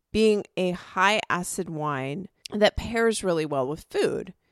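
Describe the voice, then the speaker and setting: Her enthusiastic tone carries vocal fry as the woman speaks, the sound dry and close with no echo. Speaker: wine podcast co-host. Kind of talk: casual chat.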